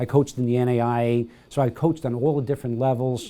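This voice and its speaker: A man's dark, mellow voice at medium pitch, monotone and flat, at a fairly quick pace. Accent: American. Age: 70s. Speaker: retired basketball coach. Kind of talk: interview. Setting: library. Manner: halting, many fillers.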